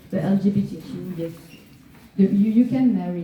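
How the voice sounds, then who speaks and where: With a French accent, a woman speaks amid noticeable background noise and audible room echo. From Belgium (Brussels), Moroccan heritage. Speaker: cultural exchange presenter. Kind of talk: Q and A presentation. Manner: halting, many fillers.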